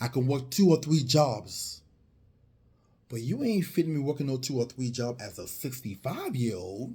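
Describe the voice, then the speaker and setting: A man is speaking. His pace is moderate. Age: 40s. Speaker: financial advisor selling insurance and retirement plans. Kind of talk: motivational talk to camera. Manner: animated.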